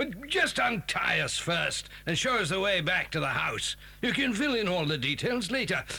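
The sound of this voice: Over faint background noise, a man puts on a character voice with high pitch, big pitch swings, vocal fry and a bright, sharp tone at a moderate pace.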